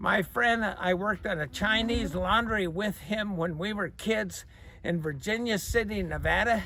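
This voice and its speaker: Someone speaks in a raised, projected voice at a fairly slow pace. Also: man. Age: 80s. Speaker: car seller, longtime owner. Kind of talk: casual storytelling.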